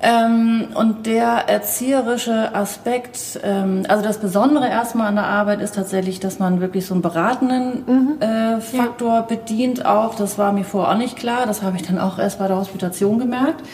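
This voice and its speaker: Noticeable background noise sits behind a woman speaking at a fairly high pitch with fairly even intonation. She keeps a moderate pace with hardly any pauses. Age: 40s. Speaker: zero-waste shop owner. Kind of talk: interview. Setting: inside a shop during business hours.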